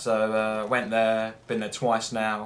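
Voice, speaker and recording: A man talks at a medium pitch. Room echo can be heard. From England. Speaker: gameplay commentator. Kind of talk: gameplay commentary. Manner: rambling with many fillers.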